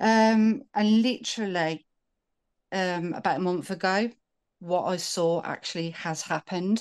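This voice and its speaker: A woman with a British accent, medium pitch, ordinary pitch variation and a fairly slow pace, against a quiet background. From United Kingdom. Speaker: caller. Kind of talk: casual call-in conversation. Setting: video call.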